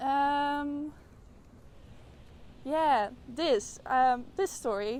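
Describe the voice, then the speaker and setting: A woman's high-pitched voice with ordinary pitch variation and a Dutch accent. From Netherlands. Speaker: art student. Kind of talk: interview. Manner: halting, many fillers.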